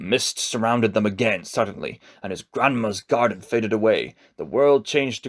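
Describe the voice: Ordinary pitch variation throughout plain reading aloud.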